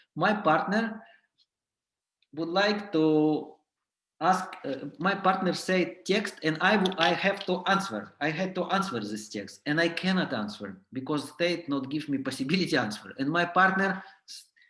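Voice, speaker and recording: A man with a high, bright, sharp voice speaks with lively intonation. Room echo is audible. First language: not English. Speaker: clown and clown teacher. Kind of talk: workshop lecture. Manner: halting.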